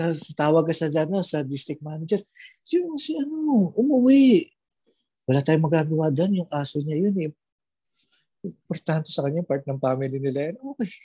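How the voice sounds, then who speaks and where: Using lively intonation, a man talks at a fairly quick pace and fairly high pitch in a dark, mellow tone, with a dry, close sound with no echo. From Philippines. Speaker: store manager abroad. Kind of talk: testimony.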